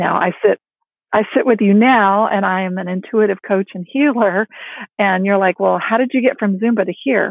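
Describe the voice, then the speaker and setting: Using a plain, everyday voice, a woman talks at a middle pitch that rises and falls in a normal way. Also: moderate pace. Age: 50s. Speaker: empowerment coach and author. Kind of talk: interview.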